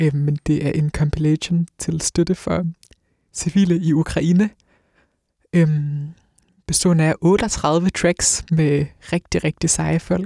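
Very slowly and in a flat monotone, a man with a dark, mellow, fairly high voice speaks with long, frequent pauses, the sound dry and close with no echo. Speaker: radio host. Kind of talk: casual chat. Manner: hesitant, filler words.

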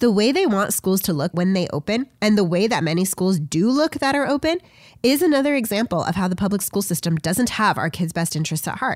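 The voice moves at a fairly quick pace with very wide pitch swings and very even loudness in a very clean recording with a silent background. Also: woman, medium pitch for a woman. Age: 30s. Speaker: podcast host and substitute teacher. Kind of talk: solo commentary monologue. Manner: formal.

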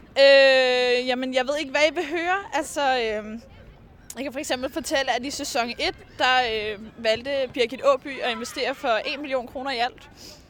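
Against crowd noise, a woman speaks fairly slowly at a high pitch, with ordinary pitch variation. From Copenhagen western suburbs, Denmark. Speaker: student radio host. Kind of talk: casual chat. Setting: outdoors.

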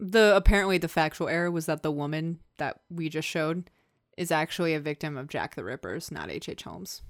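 A woman with a normal speaking voice talks at a fairly quick pace in a fairly low pitch. Her loudness swings widely while her intonation stays fairly even. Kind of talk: casual chat.

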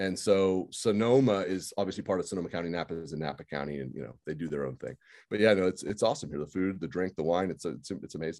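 With an American accent, a man with a very deep, low pitch and vocal fry talks very fast, his intonation lively and his speech showing hardly any pauses. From Santa Rosa, California. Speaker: hospitalist and podcast host. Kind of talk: casual podcast interview.

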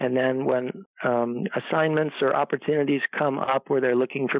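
A plain, everyday voice from a man, medium in pitch, fairly even in intonation, at a moderate pace. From US Midwest, Chicago suburbs. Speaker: pharmacist. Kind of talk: interview. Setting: at home.

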